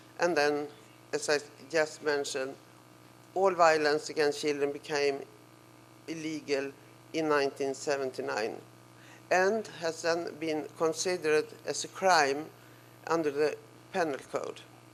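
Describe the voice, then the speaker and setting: A woman with a non-native accent speaks at a very deep, low pitch with fairly even intonation. She goes at a fairly slow pace, with long, frequent pauses. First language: Swedish. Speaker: professor. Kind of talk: lecture. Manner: halting.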